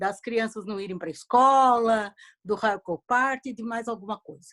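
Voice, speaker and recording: A woman's unremarkable speaking voice, fairly high in pitch with ordinary pitch variation and big swings in loudness, in a dry, close sound with no echo. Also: fairly slow pace. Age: 60s. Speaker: audience member asking a question. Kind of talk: question in online Q&A.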